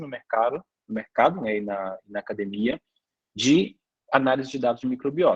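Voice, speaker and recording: This man's medium-pitched voice shows ordinary pitch variation. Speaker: lecturer and biotech company founder. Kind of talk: online lecture. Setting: online class with chat. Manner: fast.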